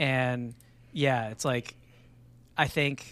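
An unremarkable speaking voice delivers its words with fairly even intonation. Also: man. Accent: American. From Texas. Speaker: podcast guest. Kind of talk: casual chat.

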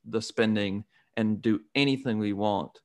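In a very clean recording with a silent background, a man talks in a plain, everyday voice. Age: young. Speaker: podcast host. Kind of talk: interview.

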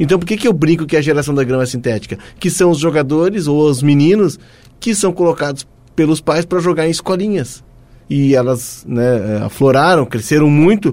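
Using a plain, everyday voice, a man speaks at a moderate pace and fairly high pitch with lively intonation. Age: 50s. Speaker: football podcast host. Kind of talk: casual chat.

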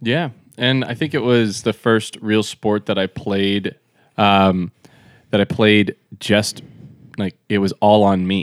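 Speaking at a very slow pace with long, frequent pauses, a man uses fairly low pitch and ordinary pitch variation. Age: 30s. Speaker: disc golf pro. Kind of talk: casual interview chat. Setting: hotel room.

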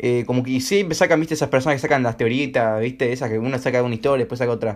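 A man speaks with a Rioplatense accent at a medium pitch. His tone is animated. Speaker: amateur podcast host. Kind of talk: casual chat.

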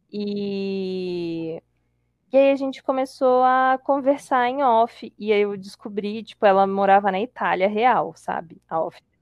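A woman talks very slowly at a medium pitch. Her pitch varies in an ordinary way. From Brazil, Espírito Santo (Colatina). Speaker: podcast guest. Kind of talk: casual chat.

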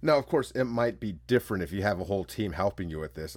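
Very fast talk from a man with an American accent, lively intonation and vocal fry, on a very clean recording with a silent background. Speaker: solo podcast host. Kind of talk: casual monologue.

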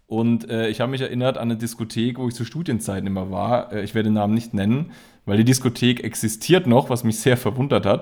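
A man races along very fast in a medium pitch, his pitch varying in an ordinary way while music plays in the background. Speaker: podcast co-host. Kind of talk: casual chat. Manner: halting, many fillers and repetitions.

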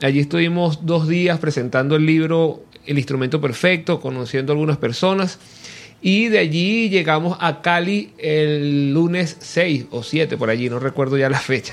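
A man has an unremarkable speaking voice with a fairly high pitch. He talks at a fairly slow pace with ordinary pitch variation. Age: 40s. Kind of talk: radio interview. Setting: radio studio.

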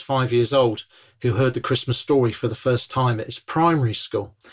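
Speaking very fast with a southern English accent, a man keeps a medium pitch. His voice is somewhat breathy. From southern England, Bournemouth. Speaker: evangelist. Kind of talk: casual chat. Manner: animated.

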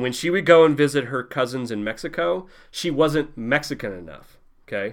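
In a very clean recording with a silent background, a man with a fairly high voice and vocal fry speaks at a fairly quick pace with lively intonation. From US Midwest, Southeast Missouri. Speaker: comic book creator. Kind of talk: casual interview.

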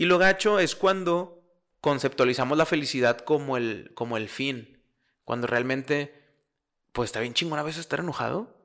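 Animated and fairly high-pitched, a man with a Mexican accent speaks at a moderate pace with ordinary pitch variation in a very clean recording with a silent background. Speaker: podcast co-host. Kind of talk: casual chat.

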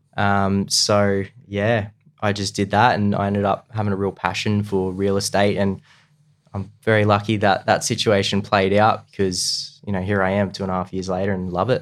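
With an Australian accent, a man speaks in a fairly low pitch at a moderate pace. His intonation is monotone and flat. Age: 20s. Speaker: real estate agent. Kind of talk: casual chat.

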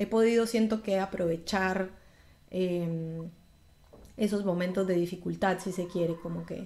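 At a very slow pace, a woman speaks in a flat monotone, her medium pitch set in a dark, mellow tone. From Colombia (Bogotá, Medellín). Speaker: singer. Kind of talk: interview.

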